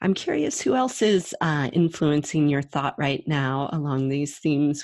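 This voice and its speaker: The background is quiet. A woman speaks at a very deep, low pitch and a fairly slow pace. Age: 30s. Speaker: podcast host. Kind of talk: interview.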